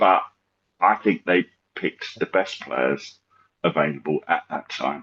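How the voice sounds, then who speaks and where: A man with an English accent at a fairly slow pace, with long, frequent pauses and a dry, close sound with no echo. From England, north of London. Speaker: football fan. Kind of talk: casual chat. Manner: halting, repeats words.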